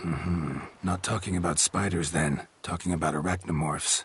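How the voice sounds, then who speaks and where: A raspy, put-on character voice at a moderate pace. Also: man, very deep, low pitch for a man. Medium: video game. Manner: terse, clipped, drops subjects.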